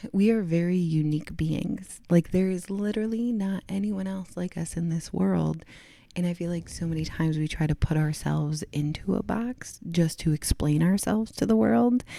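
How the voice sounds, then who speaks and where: A woman speaks in a dark, mellow tone at a fairly low pitch. Her moderate pace has hardly any pauses. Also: ordinary pitch variation. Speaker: yoga instructor. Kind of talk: casual podcast chat.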